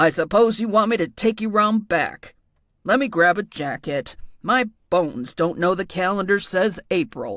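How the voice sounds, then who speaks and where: A woman puts on a growling, gruff, rumbling character voice at a medium pitch. She keeps a moderate pace. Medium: read story. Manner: gruff, sarcastic, grumbling.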